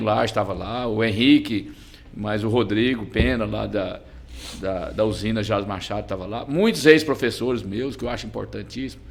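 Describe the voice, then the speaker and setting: Using a normal speaking voice, a man talks at a moderate pace with fairly low pitch and ordinary pitch variation. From Brazil, Goiás (Goianésia). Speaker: business association president. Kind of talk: podcast interview.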